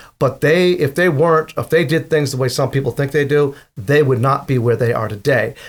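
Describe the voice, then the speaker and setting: Somewhat breathy, this voice moves at a fairly quick pace with an East Coast US accent. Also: man, fairly high pitch for a man, ordinary pitch variation. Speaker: safety consultant. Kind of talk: interview answer.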